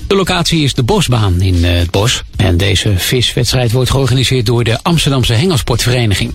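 Music plays in the background. The speaker's intonation is lively. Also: man. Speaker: local news reader. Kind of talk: news reading. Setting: radio studio. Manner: formal, measured.

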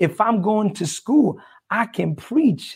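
A man is speaking. His pitch swings very widely. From El Salvador. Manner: warm, enthusiastic.

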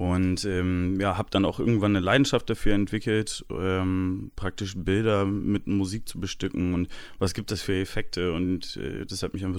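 A man speaks at a medium pace in a very deep, low voice on a very clean recording with total silence behind him. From Aachen, Germany, Dutch-German family. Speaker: DJ and music producer. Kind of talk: interview.

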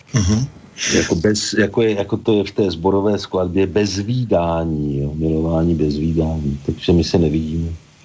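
Very even loudness over noticeable background noise. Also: man, very deep, low pitch for a man, ordinary pitch variation, moderate pace. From Czechia, Pardubice. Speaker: botanist and Czech teacher. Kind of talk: interview.

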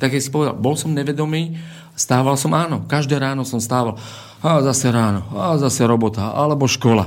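Audible room echo surrounds a man talking at a fairly quick pace. His medium pitch shows ordinary variation. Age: 30s. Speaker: martial arts coach. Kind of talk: radio interview.

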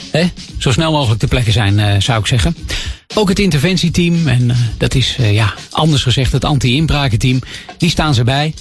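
Over music in the background, a man at medium pitch talks at a moderate pace with lively intonation and very even loudness. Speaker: local news reader. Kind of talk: news reading. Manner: formal, measured.

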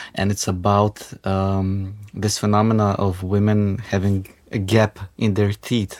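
Speaking in a Macedonian accent, a man has a fairly low pitch and very even loudness. His intonation is monotone and flat, and his pace is fairly slow. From North Macedonia. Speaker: indie rock musician. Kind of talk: radio interview. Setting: studio.

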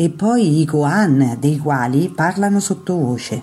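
Speaking with lively intonation, this woman has a very deep, low pitch. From central Italy, Terni (Umbria). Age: 60s. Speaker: Zen teacher.

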